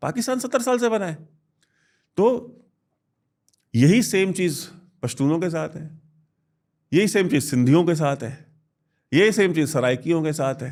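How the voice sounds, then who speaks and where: A man speaks at a high pitch in a Bihari accent, with very wide pitch swings. He leaves long, frequent pauses, and the recording is very clean with a silent background. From India, Varanasi (Uttar Pradesh). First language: Bhojpuri (speaking Hindi). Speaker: defence analyst. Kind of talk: interview.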